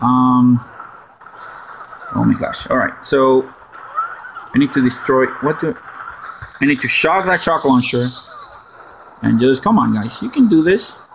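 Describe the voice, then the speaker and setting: A man speaks at a medium pitch with ordinary pitch variation, at a fairly slow pace. He leaves long, frequent pauses over noticeable background noise. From Puerto Rico. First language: Spanish. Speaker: gaming streamer. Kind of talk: live stream gameplay commentary. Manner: animated.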